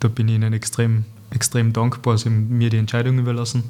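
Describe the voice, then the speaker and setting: A man in a Tyrolean accent speaks at a fairly quick pace with a medium pitch, a dark, mellow tone and monotone, flat intonation. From East Tyrol, Austria (Lienz area). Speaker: painter, former pro footballer. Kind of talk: casual interview chat. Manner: halting, many repetitions and fillers.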